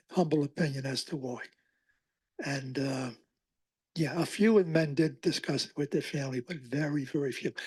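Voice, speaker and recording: A man's somewhat breathy, fairly high voice at a moderate pace, with ordinary pitch variation, long and frequent pauses, and a quiet background. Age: 80s+. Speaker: oral historian giving a library talk. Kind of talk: public talk with audience Q&A. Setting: library talk with live audience.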